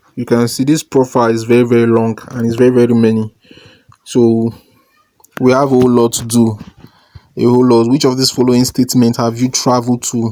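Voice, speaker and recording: A man speaks at a fairly quick pace in a medium pitch, with flat, monotone intonation. He leaves long, frequent pauses. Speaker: online money-making YouTuber. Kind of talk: tutorial. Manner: casual, hesitant with fillers.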